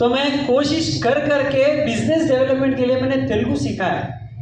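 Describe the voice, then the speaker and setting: This man's pitch is extremely high for a man. There is audible room echo and noticeable background noise. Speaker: network marketing speaker. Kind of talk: motivational business talk. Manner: animated.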